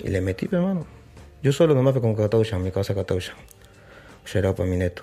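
A fairly low-pitched, somewhat breathy man with lively intonation at a fairly quick pace. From Peru, Lima (Surquillo). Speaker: drill rapper. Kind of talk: casual interview.

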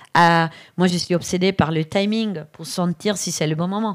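A woman speaks with an Italian accent at a fairly slow pace, her pitch fairly low and her intonation fairly even. The recording is very clean, with a silent background. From Italy, Brescia. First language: Italian (speaking French). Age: 50s. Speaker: digital strategy consultant. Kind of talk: live interview before audience.

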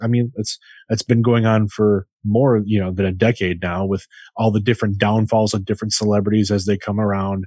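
Against a quiet background, a man speaks in an ordinary speaking voice at a moderate pace, fairly low in pitch. His intonation is fairly even, and the sound is dry and close with no echo. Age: 40s. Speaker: podcast co-host. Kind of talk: casual chat.

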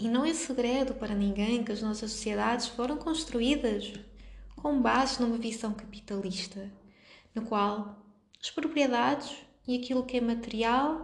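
A woman's fairly high voice in a European Portuguese accent, at a fairly slow pace, with ordinary pitch variation and audible room echo. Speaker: podcast host, astrologer and yoga teacher. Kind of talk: solo talk on astrology.

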